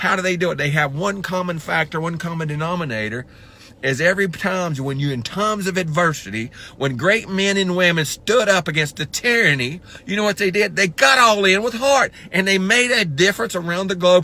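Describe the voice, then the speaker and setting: With an American accent, a man speaks at a high pitch in a bright, sharp tone. His intonation is lively and his pace fairly quick. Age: 60s. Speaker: motivational speaker. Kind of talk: motivational talk. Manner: animated.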